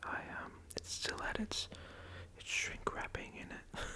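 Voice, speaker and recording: Amid noticeable background noise, a man's whisper unfolds at a fairly slow pace. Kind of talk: ASMR movie discussion. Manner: whispered; soft-spoken, hesitant.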